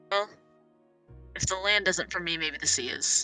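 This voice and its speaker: A put-on character voice with lively intonation at a moderate pace, faint music playing in the background. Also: woman, medium pitch for a woman. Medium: actual play. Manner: earnest, plain-spoken.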